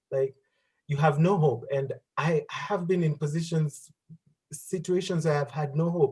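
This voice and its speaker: A man's fairly high, somewhat breathy voice with a dark, mellow tone. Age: 30s. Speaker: career speaker. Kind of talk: interview.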